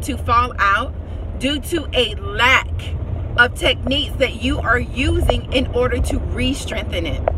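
A woman speaking at a fairly slow pace, a dry sound with no echo, noticeable background noise. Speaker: hair care coach. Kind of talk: casual vlog advice. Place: car. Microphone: phone near.

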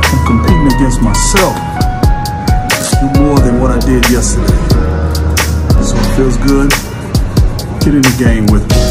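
Long, frequent pauses over loud background music. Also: man, moderate pace. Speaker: fitness vlogger. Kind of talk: casual vlog chat. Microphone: phone near.

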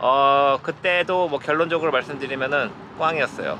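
A man at a fairly slow pace, dry sound with no echo, and noticeable background noise. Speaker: vlogger. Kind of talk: casual vlog chat. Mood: relaxed, cheerful. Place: boat. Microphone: phone near.

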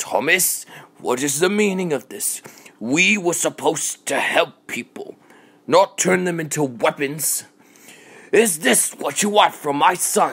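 This man's voice is high in pitch, his pace fairly slow and his pitch variation ordinary. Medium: fan dub. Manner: outraged, then sneering and vengeful.

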